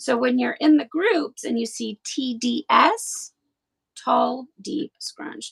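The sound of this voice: In a put-on character voice, a woman speaks very slowly at a high pitch, hoarse and raspy, with a dry, close sound and no echo.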